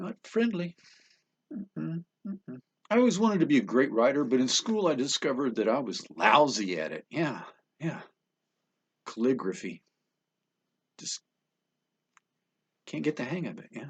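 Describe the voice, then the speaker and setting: A man speaks at a fairly high pitch with vocal fry, very wide pitch swings and big swings in loudness. Long, frequent pauses break up his speech, captured with a dry, close sound and no echo. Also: moderate pace. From New Hampshire. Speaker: comedian. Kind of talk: stand-up. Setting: home studio.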